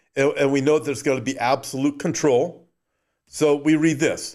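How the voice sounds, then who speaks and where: On a very clean recording with a silent background, a man speaks at a moderate pace in a Californian accent. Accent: Californian American. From Southern California. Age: 60s. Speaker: pastor and Bible prophecy podcast host. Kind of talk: livestream sermon with news commentary.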